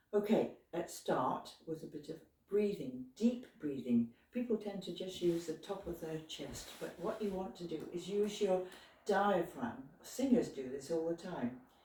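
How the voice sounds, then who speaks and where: Over noticeable background noise, a woman speaks at a fairly slow pace and a fairly low pitch with lively intonation. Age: 80s. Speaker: retired physiotherapist, exercise instructor. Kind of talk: exercise tutorial. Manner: relaxed, halting.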